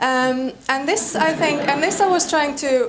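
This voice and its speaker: Against noticeable background noise, a woman with an Icelandic accent speaks at a fairly slow pace. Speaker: panel moderator. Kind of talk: panel discussion.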